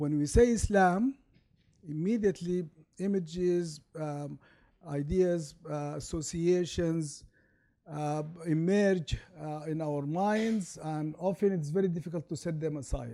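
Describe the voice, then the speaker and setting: A man with an Arabic accent, a fairly high pitch, a dark, mellow tone, ordinary pitch variation and a fairly slow pace. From Sudan. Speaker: law professor. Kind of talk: lecture.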